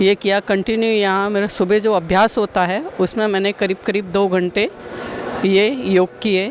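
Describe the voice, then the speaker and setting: There is noticeable background noise behind a woman speaking. Her voice sits at a medium pitch with very even loudness. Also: ordinary pitch variation. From Gondia, Maharashtra, India. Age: 60s. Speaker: patient giving testimonial. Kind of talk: testimony.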